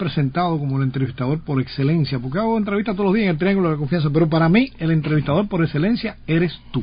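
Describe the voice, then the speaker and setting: Noticeable background noise sits behind a man speaking at a very fast pace. His pitch is fairly high, with ordinary variation. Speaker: radio host. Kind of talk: radio interview.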